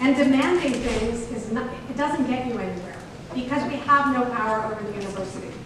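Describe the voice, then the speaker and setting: Over noticeable background noise and strong room echo, a woman with an American accent speaks at a high pitch with ordinary pitch variation. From US West Coast, Berkeley, California. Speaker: mayoral candidate, city council member. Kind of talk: political debate. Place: classroom.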